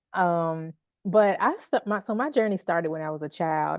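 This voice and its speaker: A woman's fairly low voice in a Southern US accent, against a quiet background. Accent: Southern twang. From Memphis, Tennessee. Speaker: healing artist. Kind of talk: interview conversation.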